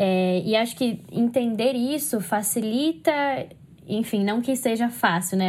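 A woman speaks at a fairly high pitch, somewhat breathy, with ordinary pitch variation. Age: 20s. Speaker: psychology student. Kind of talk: casual chat. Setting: remote call. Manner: talkative.

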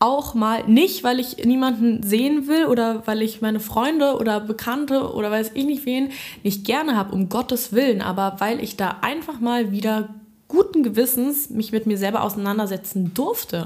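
A woman speaks at a moderate pace with fairly high pitch and ordinary pitch variation. Her voice is somewhat breathy. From Berlin. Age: 20s. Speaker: music student. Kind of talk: casual chat. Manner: halting.

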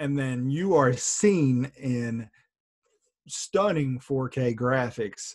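The speaker is a man with a medium-pitched voice. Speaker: podcast co-host. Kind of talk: casual sports podcast chat. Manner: animated, profane.

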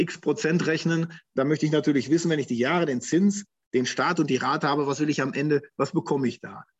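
This man has an unremarkable speaking voice pitched fairly high. He talks at a fairly quick pace with fairly even intonation. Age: 50s. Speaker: financial advisor. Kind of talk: interview.

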